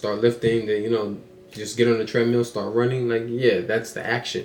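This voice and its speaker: Flat and monotone, a man talks at a medium pitch. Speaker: motivational podcaster. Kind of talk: motivational monologue. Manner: fast; casual, repetitive with filler words.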